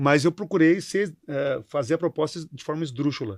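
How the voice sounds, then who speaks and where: A man speaks in a southern Brazilian accent at a fairly high pitch, with lively intonation. The sound is dry and close, with no echo. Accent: gaúcho. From southern Brazil, Rio Grande do Sul. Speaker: company CEO. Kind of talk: interview. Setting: studio panel. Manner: halting, repeats words.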